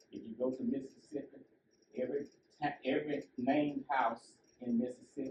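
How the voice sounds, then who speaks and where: A man talks in a somewhat breathy voice. His intonation stays fairly even. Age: 80s+. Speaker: guest speaker, retired library science scholar and genealogist. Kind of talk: public lecture. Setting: library talk with audience.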